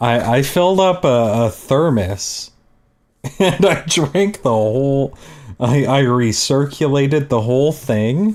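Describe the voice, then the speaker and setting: A man with a Canadian accent, fairly high in pitch, with lively intonation, a very slow pace and very even loudness. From Canada. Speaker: streamer, digital artist. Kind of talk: casual chat. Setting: live art stream.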